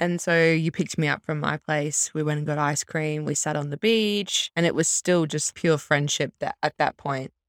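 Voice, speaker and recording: With an Australian accent, a woman speaks at a very deep, low pitch and fairly even intonation. She keeps a moderate pace with hardly any pauses. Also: dry, close sound with no echo. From Australia, Brisbane. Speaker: podcast co-host and primary school teacher. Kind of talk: casual chat.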